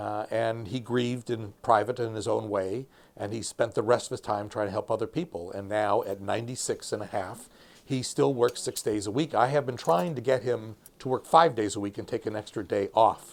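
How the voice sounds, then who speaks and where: Here is a man with an ordinary speaking voice at medium pitch, with ordinary pitch variation. He talks at a moderate pace on a very clean recording with a silent background. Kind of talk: interview answer.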